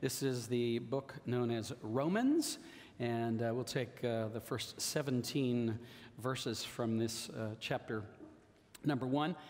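Fairly even intonation from a man, at a very slow pace. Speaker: pastor teaching. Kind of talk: sermon. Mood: warm, joking. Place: church. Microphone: headset.

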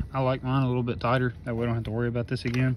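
Noticeable background noise runs under a dry sound with no echo. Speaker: tractor owner doing a repair. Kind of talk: tutorial. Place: farm machine. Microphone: phone near.

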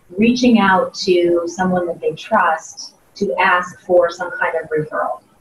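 A woman with an American accent speaks at a fairly slow pace and medium pitch, with light background noise and audible room echo. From US Midwest, Ohio (Columbus). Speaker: sales trainer and keynote speaker; sales trainer, keynote speaker. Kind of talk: interview. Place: meeting room.

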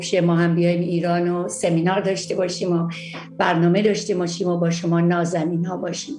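A woman speaks at a fairly quick pace in a fairly low, monotone voice with flat intonation. Audible room echo and clear background music accompany her. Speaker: psychologist hosting a TV segment. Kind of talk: talk show monologue. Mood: warm and friendly. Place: home room. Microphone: webcam.

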